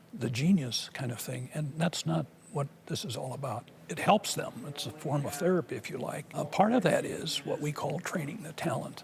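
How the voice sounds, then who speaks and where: A man's fairly high, lively voice with hardly any pauses, over noticeable background noise. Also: moderate pace. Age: 70s. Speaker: savant syndrome expert. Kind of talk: public demonstration and explanation.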